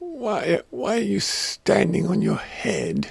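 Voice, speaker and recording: A raspy, put-on character voice from a man, delivered at a very slow pace. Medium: read story.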